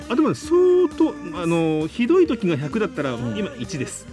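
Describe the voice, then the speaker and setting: Clear music plays in the background as a man speaks at a moderate pace, with a dry sound and no echo. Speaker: voice actor. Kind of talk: casual radio talk show banter. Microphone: studio mic.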